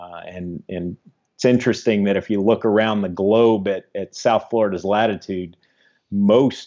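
Speaking at a moderate pace with an American accent, a man with a fairly low pitch and an unremarkable speaking voice keeps his intonation fairly even while his loudness swings widely. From Ohio, US Midwest. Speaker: ecologist. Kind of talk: interview.

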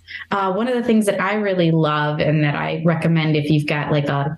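A woman's fairly low voice in a Midwestern American accent, with ordinary pitch variation. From US Midwest, northeastern Ohio. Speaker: library collection development manager. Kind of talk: interview.

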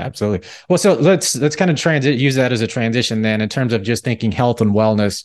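Talking very fast, a man barely pauses at all, his medium pitch moving with ordinary variation. The background is quiet. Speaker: financial planner podcast host. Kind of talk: interview conversation.

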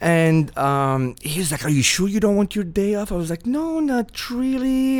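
Speaking with an Arabic accent, a man makes very wide pitch swings on a very clean recording with a silent background. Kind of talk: casual interview.

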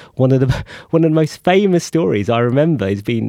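Very fast and full of very wide pitch swings, a man talks at a medium pitch with a dark, mellow tone. The sound is dry and close, with no echo. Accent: London. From London, Enfield. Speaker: economics journalist. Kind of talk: interview.

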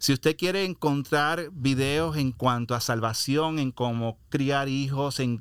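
In a very clean recording with a silent background and a dry, close sound with no echo, a man uses an ordinary speaking voice, fairly high in pitch, with ordinary pitch variation. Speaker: radio host. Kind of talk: podcast hosting, interview.

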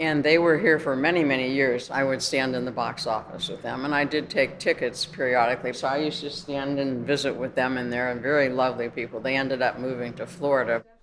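A woman with an American accent speaks at a fairly quick pace in a very deep, low pitch, her intonation fairly even, over noticeable background noise. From Youngstown, Ohio, US Midwest. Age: 80s+. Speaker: daughter of the theater's builder. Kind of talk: casual reminiscing on a tour. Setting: inside an old theater.

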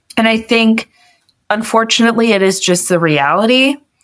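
A woman speaks in a plain, everyday voice with ordinary pitch variation and a moderate pace. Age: young. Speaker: college student with Marfan syndrome, caregiver to her father. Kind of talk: interview.

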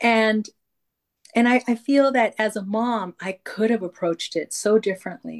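A woman speaks at a moderate pace with a fairly high pitch. She has an unremarkable speaking voice. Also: ordinary pitch variation. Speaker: retired teacher and podcaster. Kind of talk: casual chat.

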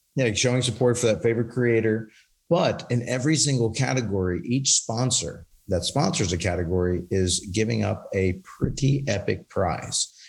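A somewhat breathy man speaks at a moderate pace with lively intonation and very even loudness. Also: medium pitch for a man. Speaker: industry company representative. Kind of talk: casual chat.

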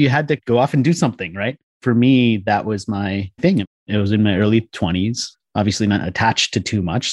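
In an ordinary speaking voice, a man with an American accent speaks at a fairly quick pace and fairly low pitch with ordinary pitch variation, the sound dry and close with no echo and the background quiet. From US, Washington DC area. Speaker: author and book publisher. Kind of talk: interview.

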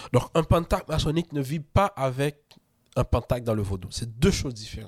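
Speech comes at a moderate pace with lively intonation. The voice has a somewhat breathy quality. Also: man. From Haiti. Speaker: freemason author and podcaster. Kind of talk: casual interview.

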